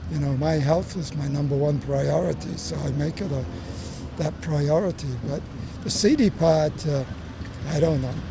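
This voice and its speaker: A man speaks at a moderate pace with long, frequent pauses, amid audible room echo and noticeable background noise. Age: 70s. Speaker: tourist. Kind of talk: street interview.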